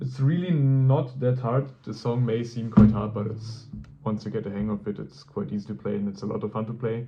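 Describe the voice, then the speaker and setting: The speech moves fairly quickly. Its dark, mellow tone rises and falls in an ordinary way. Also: man. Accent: non-native. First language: not English. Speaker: guitarist. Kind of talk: tutorial. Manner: halting.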